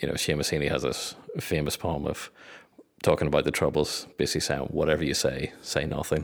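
A man's very deep, low voice with vocal fry and monotone, flat intonation, in a Northern Irish accent. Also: fairly quick pace. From Northern Ireland. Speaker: community communications head. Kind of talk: interview.

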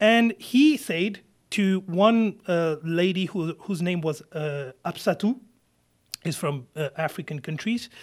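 Someone with a French accent speaks at a very slow pace with lively intonation. The recording is very clean, with a silent background. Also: man, high pitch for a man. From France, Paris suburbs. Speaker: lawyer. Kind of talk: interview. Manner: halting.

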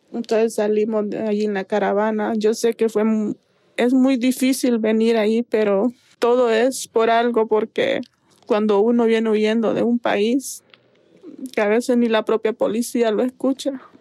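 A woman with a fairly high pitch and a dark, mellow tone speaks slowly in a monotone, flat intonation, with a dry, close sound and no echo. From Honduras, San Pedro Sula. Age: 20s. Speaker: migrant. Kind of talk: testimony.

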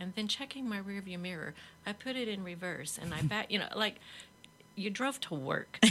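A woman speaks with a bright, sharp tone and lively intonation. Her pitch is medium and her pace moderate. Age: 50s. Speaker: author, former teacher. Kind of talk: interview.

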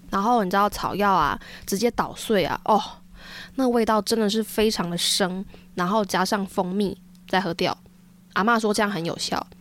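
Long, frequent pauses mark a woman's speech at a moderate pace. Her pitch is medium and her intonation fairly even, on a very clean recording with a silent background. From Taiwan, Taichung. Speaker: podcast host. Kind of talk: casual chat.

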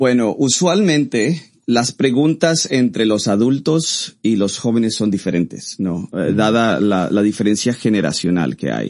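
A man in a plain, everyday voice, with lively intonation and hardly any pauses. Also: medium pitch for a man, fairly slow pace. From Costa Rica. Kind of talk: interview.

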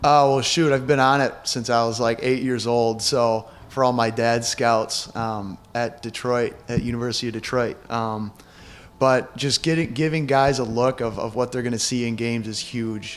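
Here is an ordinary speaking voice at a moderate pace. The intonation stays fairly even. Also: man, medium pitch for a man. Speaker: college basketball player. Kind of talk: interview.

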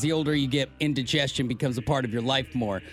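Someone talks at a very fast pace. Noticeable background noise sits behind the voice. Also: man. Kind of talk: radio dj patter.

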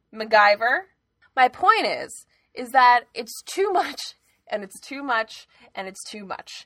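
With an American accent, a woman talks at a fairly slow pace. Her voice is raised and projected. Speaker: podcast co-host, works in television. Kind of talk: casual chat. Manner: loud; animated.

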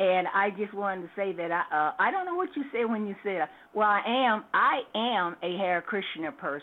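In an ordinary speaking voice, a woman talks at a moderate pace with medium pitch, lively intonation and hardly any pauses. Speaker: caller. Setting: phone call.

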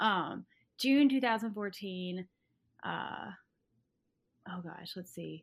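On a very clean recording with a silent background, a woman of medium pitch speaks very slowly with ordinary pitch variation, big swings in loudness and long, frequent pauses. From Arkansas. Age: 20s. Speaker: guest sharing story. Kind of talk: personal storytelling in interview.

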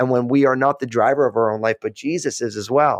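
Talking at a very fast pace with an American accent, a man keeps a medium pitch with ordinary pitch variation. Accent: East Coast buried under West Coast. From US East Coast. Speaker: podcast host, pastor-like author. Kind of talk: casual interview chat. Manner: calm, friendly.

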